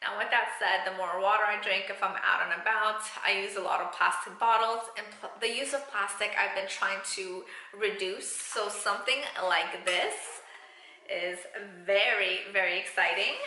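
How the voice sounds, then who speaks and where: Over noticeable background noise and audible room echo, a woman speaks at a moderate pace. Her intonation stays fairly even. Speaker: beauty vlogger. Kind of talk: product unboxing review.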